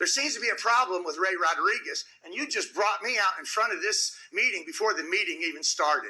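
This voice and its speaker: A man with a raised, projected voice reaches an extremely high pitch, swinging very widely in pitch. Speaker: public commenter at city council meeting. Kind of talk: public comment speech. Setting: city council chamber. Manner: loud; confrontational.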